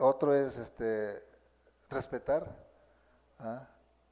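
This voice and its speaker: In a Mexican accent, a man with a dark, mellow tone and a fairly high pitch talks at a very slow pace with fairly even intonation. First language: Nahuatl (speaking Spanish). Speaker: Nahuatl-speaking teacher. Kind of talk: interview. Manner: halting.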